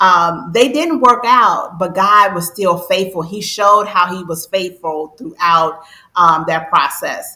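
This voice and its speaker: This woman has an ordinary speaking voice at a medium pitch. She talks at a fairly slow pace with ordinary pitch variation. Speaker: financial coach. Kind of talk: interview.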